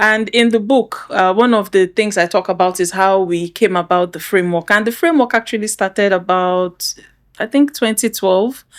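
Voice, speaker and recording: A woman with an ordinary speaking voice, medium pitch, ordinary pitch variation, very even loudness and a moderate pace. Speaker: doctor, podcast host. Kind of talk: podcast interview, casual conversation.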